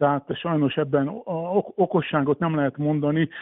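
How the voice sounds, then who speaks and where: Here a man with a normal speaking voice talks at a fairly high pitch. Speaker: former water polo champion and coach. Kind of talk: radio interview.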